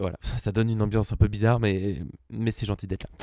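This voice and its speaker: In a put-on character voice, a man talks quietly at a very fast pace. The voice is hoarse and fairly low, with fairly even intonation. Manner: quiet, subdued.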